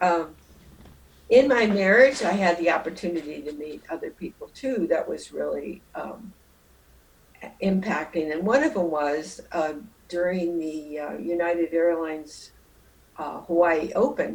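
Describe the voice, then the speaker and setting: A woman with a Midwestern American accent speaks in a fairly low voice at a fairly slow pace, with lively intonation, big swings in loudness, and long, frequent pauses. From Jackson, Michigan. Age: 80s+. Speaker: retired nurse. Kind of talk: interview answer. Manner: reflective, conversational.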